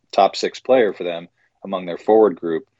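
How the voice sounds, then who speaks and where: A man with an American accent and a normal speaking voice, fairly low in pitch, at a fairly quick pace with ordinary pitch variation. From New York area. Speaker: hockey journalist. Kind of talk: interview.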